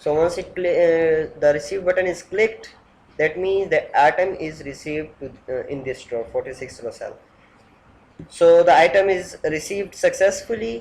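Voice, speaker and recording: This man speaks with a non-native accent and a high pitch. His loudness swings widely. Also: ordinary pitch variation, moderate pace. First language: not English. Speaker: software developer. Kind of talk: software demo tutorial. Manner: halting.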